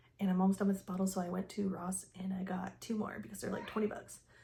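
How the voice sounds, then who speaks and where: Noticeable background noise accompanies a woman whose voice sits at a medium pitch. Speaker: fragrance reviewer. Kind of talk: casual review vlog. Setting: at home. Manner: fast; animated.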